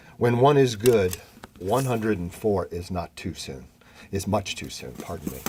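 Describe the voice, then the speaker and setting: With big swings in loudness and noticeable background noise behind him, a man with a fairly low pitch talks at a moderate pace with lively intonation. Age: 70s. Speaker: master of ceremonies. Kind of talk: memorial ceremony speech. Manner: halting.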